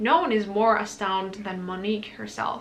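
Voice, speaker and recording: The speaker has a non-native accent and a fairly quick pace. Audible room echo and noticeable background noise surround the voice. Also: woman. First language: not English. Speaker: book youtuber. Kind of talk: casual book talk vlog. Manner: casual, filler-heavy.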